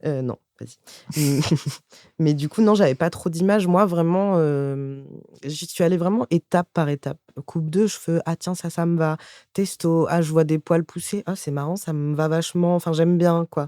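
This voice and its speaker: A man's high-pitched voice with a dark, mellow tone and long, frequent pauses, in a dry, close sound with no echo on a very clean recording with a silent background. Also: fairly even intonation, moderate pace. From France, Rambouillet area. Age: 20s. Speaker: stand-up comedian. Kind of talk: casual interview chat.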